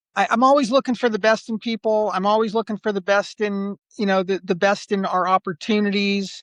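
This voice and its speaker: In a quiet background, a man with a high voice talks at a fairly quick pace with fairly even intonation and hardly any pauses. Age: 60s. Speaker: geriatrician and nursing home executive. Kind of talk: interview. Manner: halting, repeats words.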